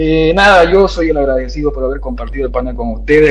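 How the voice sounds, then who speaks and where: There is audible room echo and noticeable background noise around this man's voice. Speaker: political panelist. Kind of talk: panel discussion.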